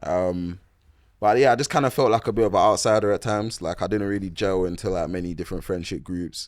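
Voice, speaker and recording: A man with a London accent talks at a very fast pace in a fairly low pitch. His pitch varies in an ordinary way, and the recording is very clean with a silent background. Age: 20s. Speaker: boxer and musician. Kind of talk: casual chat.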